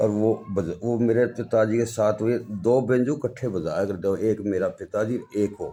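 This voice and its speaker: Fairly even intonation and hardly any pauses. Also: man, medium pitch for a man. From Haryana, Jind district. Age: 60s. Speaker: folk musician, banjo player. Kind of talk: interview.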